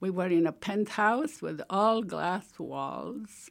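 On a very clean recording with a silent background, a woman speaks at a very slow pace and medium pitch, with vocal fry and lively intonation. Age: 70s. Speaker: retired scientist recalling 9/11. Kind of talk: oral history interview. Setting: studio.

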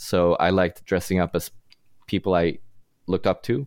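On a very clean recording with a silent background, a man with a Swedish accent talks in a very deep, low pitch, with fairly even intonation at a moderate pace. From Sweden. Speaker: rock musician. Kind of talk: casual interview.

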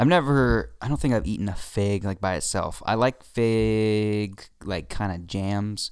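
In a very clean recording with a silent background, a man with a fairly low voice talks at a fairly slow pace with ordinary pitch variation and hardly any pauses. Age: 20s. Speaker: podcast co-host. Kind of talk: casual chat. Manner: animated.

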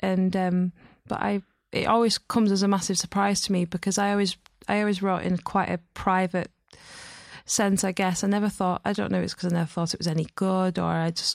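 In a Lancashire accent, a woman talks at medium pitch and a fairly quick pace with monotone, flat intonation, in a dry, close sound with no echo on a very clean recording with a silent background. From northern England, Burnley. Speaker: poet. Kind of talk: poetry reading and interview.

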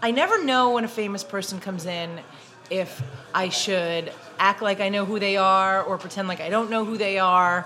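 With a Brooklyn accent, a woman of medium pitch speaks at a moderate pace with ordinary pitch variation over noticeable background noise. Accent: Brooklyn New York. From Brooklyn, New York. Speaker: podcast host. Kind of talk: casual chat.

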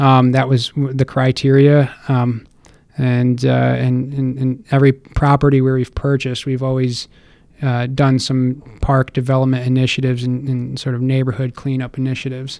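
A man with an American accent speaks in a medium pitch at a moderate pace. His intonation is monotone and flat. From Connecticut, Stamford. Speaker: mayoral candidate and real estate investor. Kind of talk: interview.

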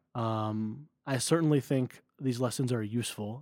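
A man with an ordinary speaking voice and an American accent talks at a medium pitch with fairly even intonation. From US Northeast (New Jersey). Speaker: business school student and former startup founder. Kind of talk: casual interview.

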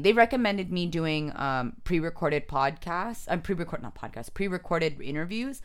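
A woman with a Californian accent, fairly low in pitch, with lively intonation at a very fast pace. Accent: Californian American. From San Jose, California. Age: 30s. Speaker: comedian. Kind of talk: casual chat.

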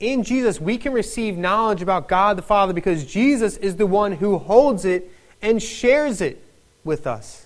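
With a Philadelphia accent, a man talks at a moderate pace in a high pitch with lively intonation. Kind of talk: sermon. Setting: church.

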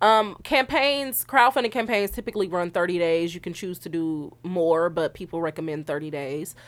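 A woman with a plain, everyday voice and a fairly low pitch talks at a moderate pace with lively intonation and hardly any pauses. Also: very clean recording, silent background. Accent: American. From Milwaukee, Wisconsin. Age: 20s. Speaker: film director. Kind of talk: interview. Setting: studio.

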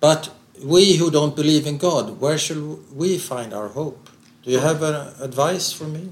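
Somewhat breathy and fairly high in pitch, a man speaks with big swings in loudness and ordinary pitch variation. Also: moderate pace. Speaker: interviewer. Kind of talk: interview.

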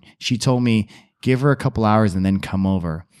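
On a very clean recording with a silent background, a man uses a normal speaking voice at a fairly low pitch with ordinary pitch variation. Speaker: podcast co-host. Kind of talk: casual banter. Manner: casual, joking.

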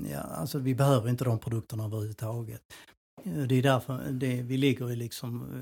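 Somewhat breathy man's voice, medium in pitch with a dark, mellow tone, fairly quick pace and ordinary pitch variation. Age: 60s. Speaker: personal trainer and nutrition adviser. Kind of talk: casual chat.

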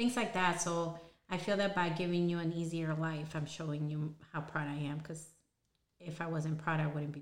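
A woman talks at a moderate pace and a fairly low pitch, with fairly even intonation. Her loudness swings widely, and audible room echo can be heard. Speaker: podcast co-host, mother of the other host. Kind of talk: casual chat.

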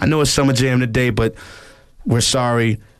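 Someone with a New York accent speaks at a moderate pace. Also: man. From New York, the Bronx. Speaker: music producer and drummer. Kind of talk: casual chat. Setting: studio.

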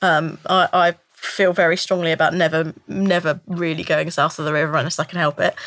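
With a London accent, a woman speaks in a bright, sharp tone at a fairly low pitch, her intonation fairly even. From North London, England. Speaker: voice actor for a game. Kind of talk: casual chat. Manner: halting.

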